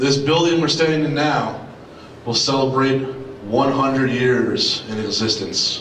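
A man at a very slow pace, with fairly even intonation, audible room echo and light background noise. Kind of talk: ceremonial speech. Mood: earnest, heartfelt, patriotic. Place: hall.

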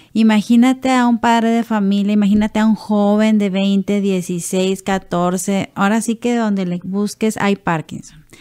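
A woman's fairly slow, monotone delivery with hardly any pauses over a quiet background. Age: 40s. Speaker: Parkinson's patient and businesswoman. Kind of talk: testimony. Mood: personal, reflective testimony. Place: studio. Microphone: studio mic.

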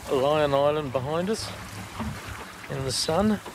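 Slow speech with ordinary pitch variation plays over faint background noise. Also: man, fairly high pitch for a man.

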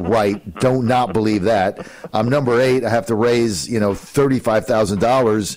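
A man with an American accent, a normal speaking voice, medium pitch and ordinary pitch variation. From New Jersey. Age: 60s. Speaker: talk radio host. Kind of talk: political talk radio. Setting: radio studio.

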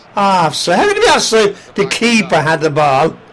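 Noticeable background noise sits behind this man's voice. He speaks at a moderate pace with a high pitch. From Ireland. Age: 70s. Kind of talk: casual commentary while playing a video game. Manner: excitable, frequently shouting.

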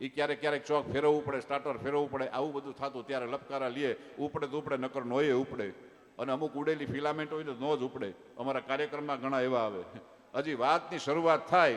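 An unremarkable speaking voice from a man, fairly high in pitch, with fairly even intonation. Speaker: folk storyteller and comedian. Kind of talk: dayro stand-up storytelling.

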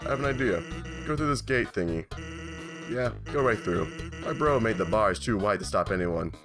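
Over clear music in the background, a man uses a put-on character voice with a medium pitch at a moderate pace. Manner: relaxed, drawling, joking.

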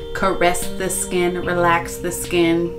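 Music plays behind a woman as she talks. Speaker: beauty vlogger. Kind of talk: casual vlog chat. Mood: relaxed, calm. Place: bathroom. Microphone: phone near.

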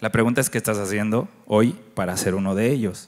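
Over a quiet background, a man is talking. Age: 40s. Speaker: agency director and conference speaker; conference speaker. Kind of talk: conference talk. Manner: conversational, interacts with audience. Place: stage. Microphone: handheld.

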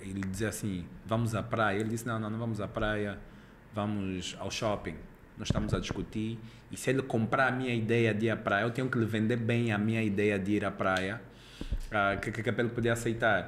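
A man talks at a moderate pace in a fairly low pitch. Light background noise sits behind him. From Angola. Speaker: podcast host. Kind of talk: podcast interview. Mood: relaxed, friendly. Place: studio. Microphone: studio mic.

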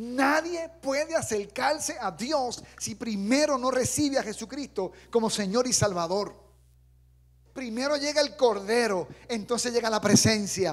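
A man speaks slowly, at a fairly slow pace, in an animated tone. His pitch is extremely high, with ordinary variation. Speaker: preacher. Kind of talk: sermon. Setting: church. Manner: animated, fervent; direct, exhorting the congregation. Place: church. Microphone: handheld.

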